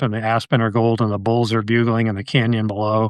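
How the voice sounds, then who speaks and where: A medium-pitched man with an American accent at a fairly quick pace, dry and close with no echo, quiet background. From Connecticut, US. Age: 60s. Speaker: wildlife biologist and conservationist. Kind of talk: casual podcast interview.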